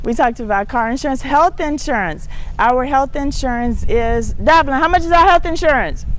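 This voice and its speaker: Here a woman speaks at a high pitch with lively intonation. Audible room echo surrounds her voice. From United States. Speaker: talk show host. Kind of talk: casual monologue to viewers. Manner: fast.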